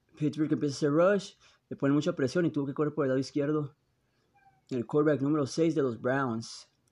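Words come at a fairly quick pace. Nothing much stirs in the quiet background. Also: man, fairly high pitch for a man. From Tijuana / San Diego border region. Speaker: podcaster commenting on NFL games. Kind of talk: live sports commentary while watching games. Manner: animated.

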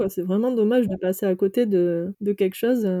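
Heard in a dry, close sound with no echo, a woman's medium-pitched voice has a dark, mellow tone and fairly even intonation. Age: 30s. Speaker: nurse turned van-life traveller. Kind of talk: interview. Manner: hesitant, many fillers.

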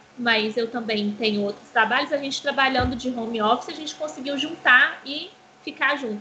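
A woman talks with a high-pitched voice. Noticeable background noise runs under the recording. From Brazil, Belo Horizonte. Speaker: game streamer. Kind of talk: casual chat.

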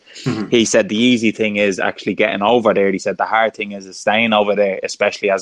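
In a Dublin accent, a man speaks at a very fast pace and a fairly low pitch, his intonation monotone and flat. The sound is dry and close, with no echo. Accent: Dublin Irish. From Ireland, Dublin. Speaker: former professional footballer. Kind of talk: interview conversation. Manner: halting, repeats words.

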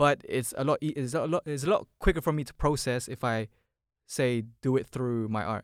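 A London accent comes through at a moderate pace with ordinary pitch variation. The sound is dry and close with no echo, in a very clean recording with a silent background. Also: man, medium pitch for a man. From Philippines, raised in London (Hounslow) from age 7. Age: 20s. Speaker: creative business owner. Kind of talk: casual chat. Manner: laid-back.

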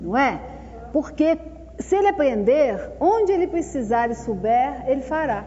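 A woman's high voice with very wide pitch swings at a fairly slow pace, plus audible room echo and noticeable background noise. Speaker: social worker leading a spiritist workshop. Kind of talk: lecture-style workshop talk.

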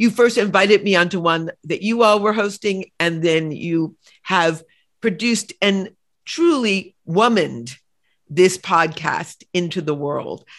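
In a normal speaking voice, a woman of medium pitch talks at a fairly slow pace with ordinary pitch variation against a quiet background. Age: 60s. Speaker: novelist and podcast host. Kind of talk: interview conversation.

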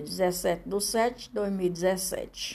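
A woman's dark, mellow voice at a medium pitch. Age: 60s. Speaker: podcaster. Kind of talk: reading aloud. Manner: halting.

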